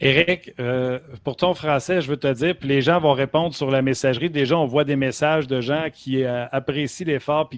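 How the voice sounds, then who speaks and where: In a Quebec accent, the speaker talks at a moderate pace with fairly even intonation and hardly any pauses, in a dry, close sound with no echo and noticeable background noise. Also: man. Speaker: sports talk show host. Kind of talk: casual chat.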